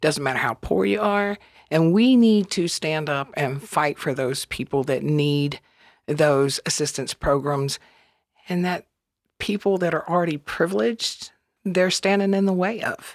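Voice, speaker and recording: On a very clean recording with a silent background, the speaker talks at a fairly slow pace in a Southern US accent. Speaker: campaign volunteer. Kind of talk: panel discussion.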